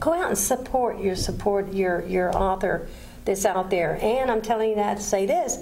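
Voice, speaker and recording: The recording has audible room echo. Noticeable background noise is also present. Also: woman. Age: 60s. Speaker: TV talk show host. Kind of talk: TV interview.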